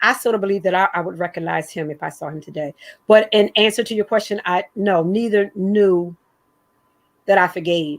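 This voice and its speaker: On a very clean recording with a silent background, a woman talks at a fairly quick pace in an unremarkable speaking voice. Her pitch is medium with ordinary variation, and her loudness swings widely. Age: 60s. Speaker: guest speaker sharing personal story. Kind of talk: testimony.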